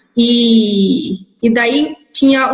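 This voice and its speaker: A woman talks in a high voice. Her pitch varies in an ordinary way. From interior of São Paulo state, Brazil. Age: 20s. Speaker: biomedical lab worker. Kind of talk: interview testimony. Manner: hesitant, with repetitions.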